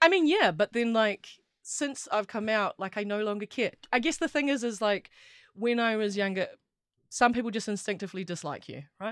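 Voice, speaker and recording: A woman with a New Zealand accent, speaking at a moderate pace with lively intonation, in a dry, close recording with no echo and a very clean, silent background. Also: fairly high pitch for a woman. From New Zealand, Wellington. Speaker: rugby player and sports journalist. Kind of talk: casual chat. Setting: studio.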